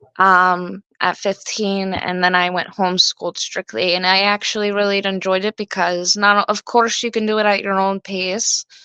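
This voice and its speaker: Against a quiet background, a woman speaks at a moderate pace in a bright, sharp tone, her intonation monotone and flat, with hardly any pauses. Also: medium pitch for a woman, dry, close sound with no echo. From Russian and Brazilian background. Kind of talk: casual chat.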